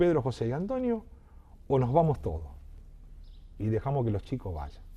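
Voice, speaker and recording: A man speaks at a moderate pace. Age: 60s. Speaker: local politician and journalist. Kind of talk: interview. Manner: halting, many repetitions.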